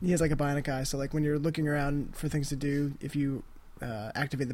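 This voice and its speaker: Talking at a very fast pace, a man uses a fairly high pitch and a somewhat breathy delivery. His intonation stays fairly even. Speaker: podcast host. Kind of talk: casual chat.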